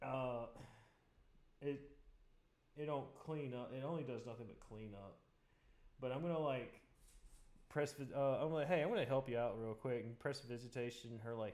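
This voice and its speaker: At a moderate pace, a man with a medium pitch and ordinary pitch variation talks with long, frequent pauses. Audible room echo is present. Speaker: tabletop role-playing game player. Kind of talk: casual tabletop game session. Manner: casual, halting with fillers.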